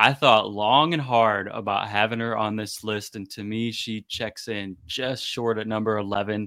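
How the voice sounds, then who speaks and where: A man speaks at a medium pitch in a bright, sharp tone. The recording is very clean, the background silent. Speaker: basketball podcast co-host. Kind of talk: casual chat.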